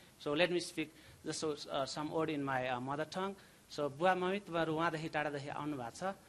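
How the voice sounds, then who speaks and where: A man talks in a fairly high pitch with fairly even intonation. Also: moderate pace. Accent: Nepali. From Nepal. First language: Nepali. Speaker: graduating chemistry student. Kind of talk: graduation thank-you speech. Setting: ceremony with audience. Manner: halting.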